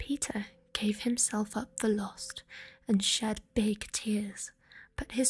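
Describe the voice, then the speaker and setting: A soft-spoken woman whispering with a British accent. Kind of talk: soft-spoken bedtime story reading. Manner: soft-spoken, whispered, gentle.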